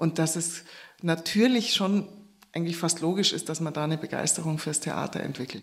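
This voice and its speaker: A woman's normal speaking voice at a fairly low pitch, with ordinary pitch variation and a moderate pace. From Upper Bavaria, Oberammergau. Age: 50s. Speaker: actress. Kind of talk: interview.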